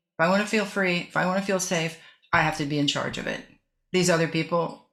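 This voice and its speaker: A woman in an American accent, fairly low in pitch with ordinary pitch variation, with audible room echo. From US West (northern California). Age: 70s. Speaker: author and former decorative artist. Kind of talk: interview.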